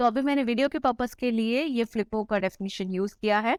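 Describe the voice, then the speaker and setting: A woman's lively intonation comes through as a dry, close sound with no echo on a very clean recording with a silent background. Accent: non-native. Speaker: online tutor. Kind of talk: tutorial. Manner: Hindi-English code-mixing.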